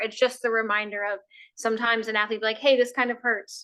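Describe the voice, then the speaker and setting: Loud and very fast, a woman talks at a fairly high pitch in a bright, sharp tone. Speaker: sports health educator. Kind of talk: educational talk.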